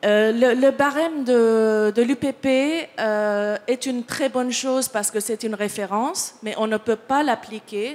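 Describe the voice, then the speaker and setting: Speaking very slowly with a non-native accent, a woman of fairly high pitch uses ordinary pitch variation. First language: not French (speaking French). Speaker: picture editor. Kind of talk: panel discussion. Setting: conference with audience. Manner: halting, many hesitations and repetitions.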